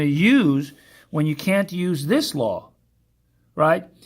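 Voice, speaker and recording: A man with an unremarkable speaking voice and a fairly high pitch is heard on a very clean recording with a silent background. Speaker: math teacher. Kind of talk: lecture.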